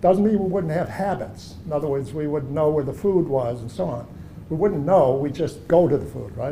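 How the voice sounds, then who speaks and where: Audible room echo surrounds a man speaking at a moderate pace in a fairly high pitch with lively intonation. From Germany, then Chicago from age seven. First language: German. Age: 70s. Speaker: artist. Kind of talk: gallery talk conversation. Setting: art gallery. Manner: conversational, with hesitations.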